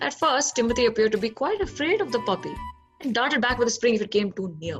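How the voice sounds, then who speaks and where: A woman talks at a fairly quick pace with a fairly high pitch. Her pitch swings very widely over music in the background. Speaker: actor. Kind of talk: storybook narration.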